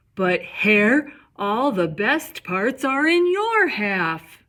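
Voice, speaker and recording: Doing a put-on character voice, a woman speaks high with very wide pitch swings at a very slow pace. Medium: read story.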